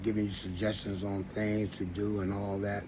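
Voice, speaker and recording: There is audible room echo as a man speaks with an American accent at a moderate pace. His voice is fairly low and somewhat breathy. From Washington, D.C. area. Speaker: vlogger. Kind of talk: casual monologue. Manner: halting, many fillers.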